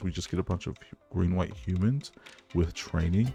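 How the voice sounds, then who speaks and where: A quiet man with a very deep, low pitch and a dark, mellow tone on a very clean recording with a silent background. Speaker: gaming YouTuber. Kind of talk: gameplay commentary and deck tech. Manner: quiet, low voice.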